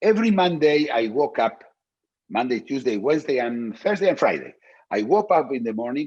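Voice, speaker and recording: Against a quiet background, a man with a non-native accent talks at a fairly high pitch with very wide pitch swings. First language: not English. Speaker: philosopher. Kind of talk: interview. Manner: halting, many repetitions and fillers.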